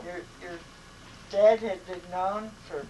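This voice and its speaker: Noticeable background noise sits under this woman's voice. She has a fairly low pitch and fairly even intonation. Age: 80s+. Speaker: grandmother. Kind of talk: interview answer.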